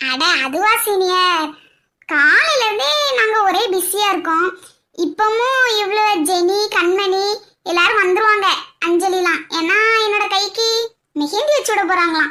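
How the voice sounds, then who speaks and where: Using a cartoonish character voice at an extremely high pitch, a woman speaks at a fairly slow pace. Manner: playful, giggly.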